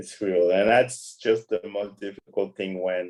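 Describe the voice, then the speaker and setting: A man with a strong non-native accent, speaking at a fairly slow pace. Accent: huge foreign. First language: not English. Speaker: podcast guest. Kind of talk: casual chat.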